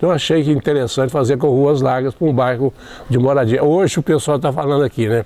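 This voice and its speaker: A man talks at a very fast pace with very even loudness over noticeable background noise. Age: old. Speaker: retired teacher and storyteller. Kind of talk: interview. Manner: halting.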